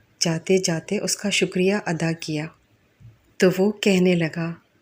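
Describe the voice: With a slightly mellow tone, a woman speaks at a fairly slow pace, with a fairly low pitch and fairly even intonation.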